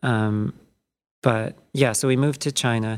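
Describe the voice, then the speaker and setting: A man talks in a mid-range pitch, his pitch moving in an ordinary way. The recording is very clean, and the background is completely silent. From US, California Bay Area and East Coast. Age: 30s. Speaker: independent game developer. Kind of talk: interview. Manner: halting, many fillers.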